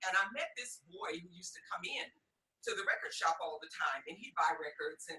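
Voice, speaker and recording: A woman with an American accent, fairly quick pace and big swings in loudness. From US Midwest, Detroit, Michigan. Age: 60s. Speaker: podcast guest. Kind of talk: personal testimony interview.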